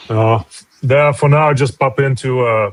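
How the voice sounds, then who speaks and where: In a Russian accent, a man talks at a fairly slow pace with fairly even intonation. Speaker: comic artist. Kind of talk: casual chat.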